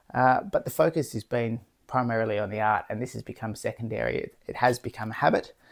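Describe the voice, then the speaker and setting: Mumbling at a very fast pace comes through on a very clean recording with a silent background. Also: man. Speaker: artist vlogger. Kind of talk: casual vlog monologue. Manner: mumbling, jumbly.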